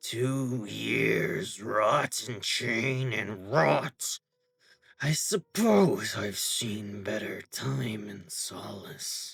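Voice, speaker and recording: Using a put-on character voice, a man growls very slowly at a fairly low pitch with big swings in loudness. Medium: read story. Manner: dignified, unshakably self-righteous.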